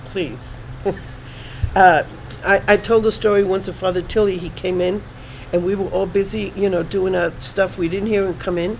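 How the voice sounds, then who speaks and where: A woman talks at a moderate pace in a medium pitch, with fairly even intonation. Long, frequent pauses break up her speech over noticeable background noise. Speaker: spiritual reader guest. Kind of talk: interview.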